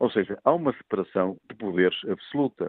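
Speaking at a moderate pace, a man uses a fairly low pitch and lively intonation. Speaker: sports disciplinary official. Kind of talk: radio phone-in debate. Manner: formal.

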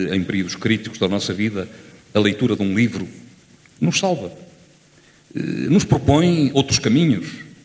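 A man is speaking at a moderate pace. Audible room echo surrounds his voice. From Lamego, northern Portugal. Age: 50s. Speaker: audience member. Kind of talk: audience contribution. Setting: theatre with audience.

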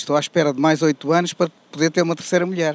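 The man's high pitch comes through in a dry, close sound with no echo. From Portugal. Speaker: interviewee on street. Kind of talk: street interview. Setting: outdoors.

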